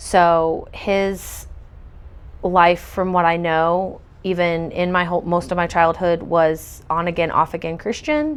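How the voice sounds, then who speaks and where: In an American accent, a woman speaks at a fairly slow pace with fairly low pitch and monotone, flat intonation over a quiet background. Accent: occasional country. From US South, Pensacola, Florida. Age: 40s. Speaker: storyteller. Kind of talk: testimony. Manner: halting, frequent fillers.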